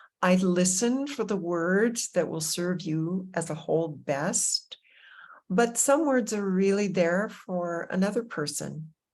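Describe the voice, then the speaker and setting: Warm, animated tone at a fairly slow pace, with ordinary pitch variation, on a very clean recording with a silent background. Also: woman. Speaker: meditation teacher. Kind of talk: guided meditation intro talk. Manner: soft-spoken when getting into heart topics.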